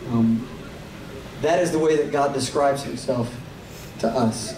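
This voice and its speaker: A man with an American accent talks amid audible room echo and noticeable background noise. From Tennessee. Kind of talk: stage talk to concert audience. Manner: animated.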